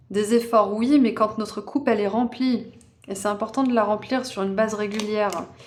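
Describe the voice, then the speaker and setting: A woman's voice, fairly high in pitch, carries fairly even intonation. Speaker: tarot reader. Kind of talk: tarot card reading. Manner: casual, hesitant with fillers.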